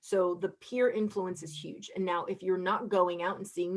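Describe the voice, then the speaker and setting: The voice belongs to a woman with a fairly low pitch. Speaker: psychiatrist. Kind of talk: lecture. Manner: fast.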